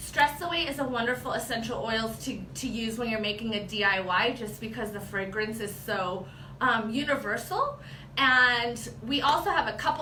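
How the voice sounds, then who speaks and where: A woman with a fairly high pitch speaks at a moderate pace and ordinary pitch variation, with audible room echo and noticeable background noise. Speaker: product trainer. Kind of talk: tutorial. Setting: livestream video.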